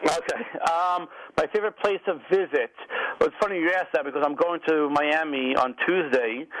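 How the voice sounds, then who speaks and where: A man with a strong New York accent, high-pitched, at a moderate pace with ordinary pitch variation. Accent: thick New York. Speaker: restaurant magazine publisher. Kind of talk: radio interview.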